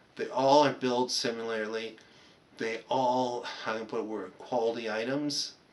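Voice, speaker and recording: Medium-pitched male voice at a moderate pace, fairly even intonation, over noticeable background noise. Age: 50s. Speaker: electronics technician. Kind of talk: casual monologue. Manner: halting.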